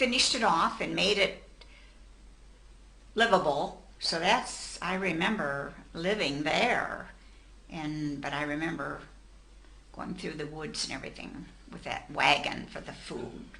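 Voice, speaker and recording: With an American accent and a fairly low voice, a woman speaks at a fairly slow pace with lively intonation, long, frequent pauses and big swings in loudness over noticeable background noise. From Mansfield, Ohio, USA. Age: 80s+. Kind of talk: interview answer.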